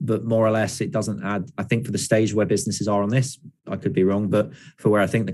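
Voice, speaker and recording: A man speaks in a southern English accent at a fairly quick pace. The recording is very clean, with a silent background. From southeast England, London. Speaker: startup founder giving a lecture. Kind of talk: lecture Q&A. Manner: fast.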